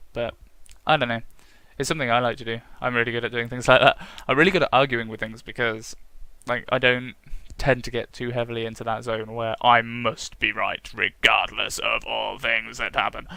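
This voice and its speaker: A man with a British accent speaks at a fairly quick pace and medium pitch in a bright, sharp tone with fairly even intonation on a very clean recording with a silent background. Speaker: gaming vlogger. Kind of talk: casual vlog monologue.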